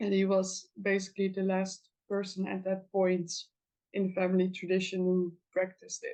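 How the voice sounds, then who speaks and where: A woman with a Dutch accent speaks at a moderate pace and medium pitch, her dark, mellow tone delivered in monotone, flat intonation. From Netherlands. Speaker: folk magic practitioner and teacher. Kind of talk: interview. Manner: halting, many fillers.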